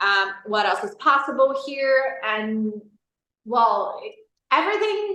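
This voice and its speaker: Through audible room echo, a woman with a high pitch and a bright, sharp tone speaks fairly slowly, her pitch swinging very widely. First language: not English. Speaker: life coaching facilitator. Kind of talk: interview.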